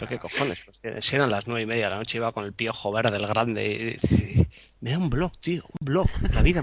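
Noticeable background noise runs under a man's speech. He talks at a fairly quick pace with lively intonation. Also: medium pitch for a man. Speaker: photographer. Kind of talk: casual chat. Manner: animated.

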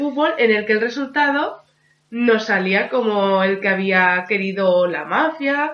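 This woman's voice sits fairly high. She talks very slowly. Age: 40s. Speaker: podcast co-host. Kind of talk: casual chat.

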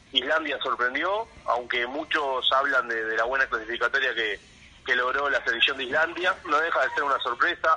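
Noticeable background noise runs through the clip. A man speaks over it at a moderate pace. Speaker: football commentator. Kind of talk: casual phone interview. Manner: halting, many repetitions.

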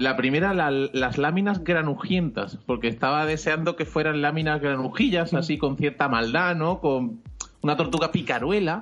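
A man's fairly high voice at a moderate pace, very even in loudness, over noticeable background noise. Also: ordinary pitch variation. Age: 40s. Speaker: podcast co-host. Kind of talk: casual chat.

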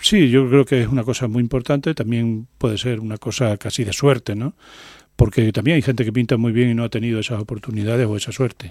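A man speaks at a fairly quick pace in a medium pitch with fairly even intonation. The sound is dry and close with no echo, a very clean recording with a silent background. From Extremadura, Spain. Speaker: painter. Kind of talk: radio interview. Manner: hesitant, many fillers.

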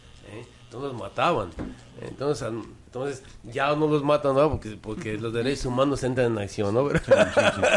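Amid noticeable background noise, a man at a medium pitch speaks at a moderate pace with ordinary pitch variation and big swings in loudness. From Mexico, Guadalajara. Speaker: singer-songwriter and cultural promoter. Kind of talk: casual chat. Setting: studio.

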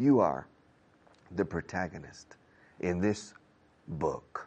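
With an American accent and vocal fry, a man speaks at a very deep, low pitch and a very slow pace, using lively intonation. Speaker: English teacher. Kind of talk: lecture. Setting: studio.

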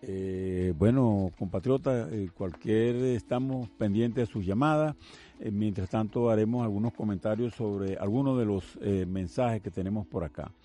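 A man's fairly low voice with a dark, mellow tone, ordinary pitch variation and a fairly slow pace. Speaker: radio host, retired navy vice admiral. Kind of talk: call-in radio show.

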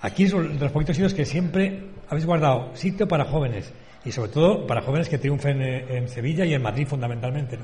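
A man is speaking. He goes at a very fast pace. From Spain, Valencia. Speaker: bullfighting radio host. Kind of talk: radio talk show. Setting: hotel, live radio broadcast.

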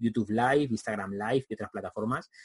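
A very fast, somewhat breathy male voice at medium pitch, dry and close with no echo. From Spain. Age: 40s. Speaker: video marketing trainer. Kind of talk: interview.

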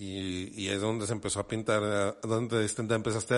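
A man speaks at a fairly slow pace. He has a Mexican accent. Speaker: podcast co-host. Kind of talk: casual chat.

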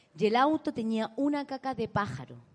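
A woman with a Chilean accent speaks at a fairly slow pace. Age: 30s. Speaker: comedian and podcast co-host. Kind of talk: live comedy podcast chat. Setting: stage with live audience.

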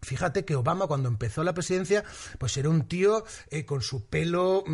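A man with a fairly high pitch and an unremarkable speaking voice, lively intonation, moderate pace, and a quiet background. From Valencia, Spain. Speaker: TV presenter and comedian. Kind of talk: casual interview chat.

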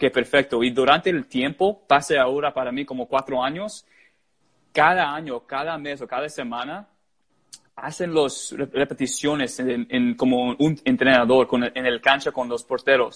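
Recorded dry and close with no echo against a quiet background, a man with an English accent talks at a fairly slow pace in a fairly high pitch. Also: ordinary pitch variation. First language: English (speaking Spanish). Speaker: goalkeeper coach. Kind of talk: interview. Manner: halting.

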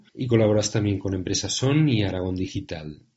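At a moderate pace, a man speaks somewhat breathily with ordinary pitch variation. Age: 40s. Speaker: podcast host, entrepreneur. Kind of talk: interview.

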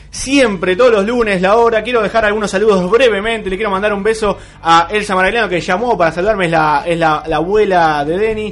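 A man's high voice at a fairly quick pace, with ordinary pitch variation, hardly any pauses and noticeable background noise. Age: 20s. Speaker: radio host. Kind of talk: radio show with interview. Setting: radio studio, live broadcast.

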